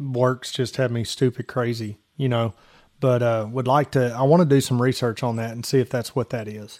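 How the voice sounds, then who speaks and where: A man with an unremarkable speaking voice at medium pitch, fairly even intonation, a moderate pace, and a dry, close sound with no echo. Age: 40s. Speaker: sports podcast host. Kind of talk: sports talk show.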